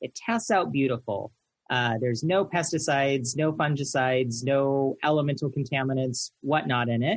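Some breathiness runs through the voice. Its pace is medium. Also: man, fairly high pitch for a man, ordinary pitch variation. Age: 30s. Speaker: veterinary technician and lecturer. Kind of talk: interview.

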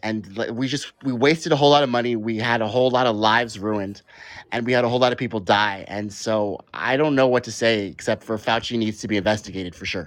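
Speaking fairly quickly, a man with medium pitch has an unremarkable speaking voice. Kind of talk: heated debate. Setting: live online call-in show.

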